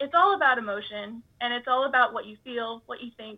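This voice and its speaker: A woman speaks with lively intonation. Her pace is moderate. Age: young. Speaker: college student. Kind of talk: interview. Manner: halting.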